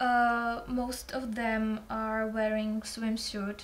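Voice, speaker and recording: A woman speaks with a fairly high pitch and a somewhat breathy voice. Her intonation is monotone and flat. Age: 20s. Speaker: student. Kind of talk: oral exam practice. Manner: halting.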